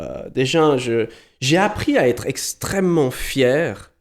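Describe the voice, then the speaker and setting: A man with a Vaud accent talks at a very slow pace with ordinary pitch variation, recorded very cleanly against a silent background. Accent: Swiss French, Vaud. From Switzerland, Valais, grew up in Vaud. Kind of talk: podcast interview. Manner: hesitant, many repetitions.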